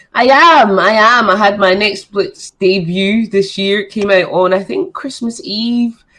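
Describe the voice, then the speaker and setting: A woman with a Scottish accent talks fairly slowly with hardly any pauses, her fairly high pitch carrying a bright, sharp tone and ordinary pitch variation. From Scotland, Edinburgh. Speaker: model, actress and comedian. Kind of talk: casual chat.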